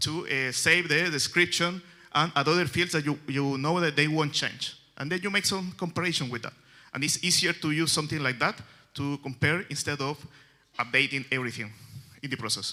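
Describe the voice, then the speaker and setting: Bright and sharp in tone, the speech comes at a fairly quick pace in a Chilean Spanish accent, with ordinary pitch variation. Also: man, fairly high pitch for a man. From Chile, Santiago. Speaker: software developer. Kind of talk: conference talk. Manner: halting, many fillers.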